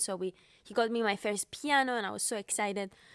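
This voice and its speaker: In a Cypriot accent, a woman talks at a moderate pace with a fairly high pitch. The recording is very clean, with a silent background. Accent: Greek Cypriot. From Cyprus. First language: Greek. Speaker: pianist. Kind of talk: interview. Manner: halting.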